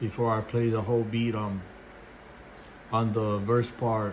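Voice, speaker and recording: Somewhat breathy and monotone with flat intonation, a man speaks at a moderate pace amid audible room echo. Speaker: beatmaker. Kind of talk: tutorial. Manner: halting.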